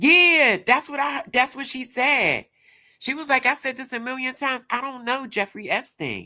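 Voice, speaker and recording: A woman with a Pittsburgh accent speaks in a raised, projected voice at a moderate pace. Her pitch is high and her tone bright and sharp. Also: ordinary pitch variation, very clean recording, silent background. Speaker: livestream commentator. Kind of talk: casual livestream chat.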